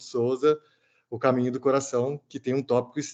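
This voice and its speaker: A man speaking in a monotone, with flat intonation. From Brazil, São Paulo state. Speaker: theology student. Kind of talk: thesis defense reply. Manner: fast; halting.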